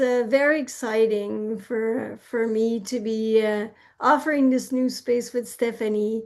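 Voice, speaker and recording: In a Quebec accent, a woman speaks very slowly at a high pitch with fairly even intonation against a quiet background. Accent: Quebecois French. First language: French. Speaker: therapist. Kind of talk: interview. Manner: halting.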